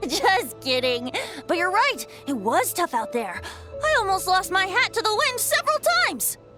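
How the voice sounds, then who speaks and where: Over clear music in the background, a put-on character voice speaks at a moderate pace. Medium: fan dub. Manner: light, playful.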